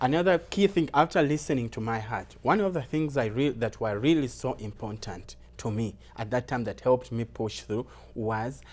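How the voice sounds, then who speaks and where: A man with a Ugandan accent, medium pitch and lively intonation. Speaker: recent immigrant sharing life story. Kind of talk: interview. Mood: motivational, earnest. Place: studio. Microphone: lapel.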